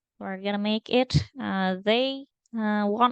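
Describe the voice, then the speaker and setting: A woman with a non-native accent speaks at a fairly slow pace. The sound is dry and close with no echo. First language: not English. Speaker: data engineering intern. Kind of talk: screen-recorded tutorial. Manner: halting, many fillers.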